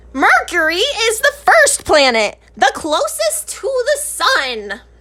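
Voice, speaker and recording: A woman's put-on character voice, extremely high in pitch, with very wide pitch swings and a fairly slow pace. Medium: read story. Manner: enthusiastic, explanatory.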